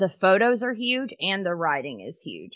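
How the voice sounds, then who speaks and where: A woman with an American accent speaks at medium pitch and a fairly slow pace, her tone bright and sharp, with lively intonation and vocal fry. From US South, Knoxville, Tennessee. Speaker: professional organizer and podcast host. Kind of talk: casual interview chat.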